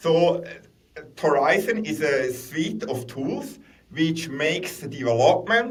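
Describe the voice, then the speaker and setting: A man with a Swiss accent and a fairly high pitch speaks with lively intonation, and room echo is audible. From Switzerland. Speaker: tech executive. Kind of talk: interview.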